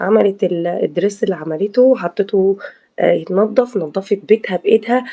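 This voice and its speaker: This woman has a medium-pitched voice with a dark, mellow tone. She talks at a moderate pace with ordinary pitch variation. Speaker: video commentator, housewife vlogger. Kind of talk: casual video commentary. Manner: hesitant, many fillers.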